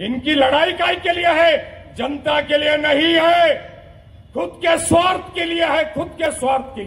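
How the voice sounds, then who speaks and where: A man's extremely high voice sounds over noticeable background noise. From Mira-Bhayandar, Maharashtra, India. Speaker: politician. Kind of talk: political rally speech. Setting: outdoor public rally. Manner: animated.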